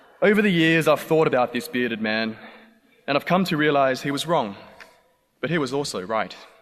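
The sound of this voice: With an Australian accent, a man talks at a fairly quick pace and a fairly high pitch, with lively intonation and long, frequent pauses.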